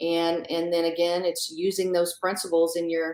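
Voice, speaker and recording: With an American accent, a woman talks at a moderate pace in a fairly low pitch. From US South (south Louisiana, near New Orleans). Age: 40s. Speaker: magazine editor. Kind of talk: interview conversation.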